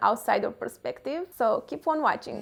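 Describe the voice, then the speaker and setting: At a moderate pace, the speaker talks in a Romanian accent with ordinary pitch variation. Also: woman. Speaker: self-development vlogger. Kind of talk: casual vlog talk to camera.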